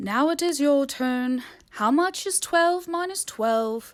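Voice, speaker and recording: A woman's put-on character voice, high-pitched and fairly slow. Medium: read story.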